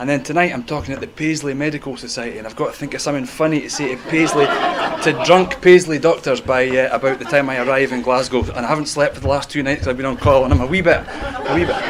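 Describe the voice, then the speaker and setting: With crowd noise in the background and audible room echo, a man with a Scottish accent talks at a very fast pace with hardly any pauses. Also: fairly high pitch for a man, ordinary pitch variation. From Scotland. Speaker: medical professor. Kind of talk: public talk. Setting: stage with audience. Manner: animated.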